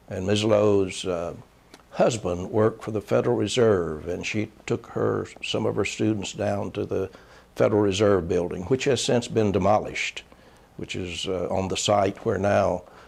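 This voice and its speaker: With a North Carolina accent, a man speaks at a fairly slow pace in a fairly low pitch. His intonation stays fairly even, with vocal fry. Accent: Southern US (North Carolina). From Charlotte, North Carolina, US South. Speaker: former state legislator and county official. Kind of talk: oral history interview. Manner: hesitant, many filler sounds.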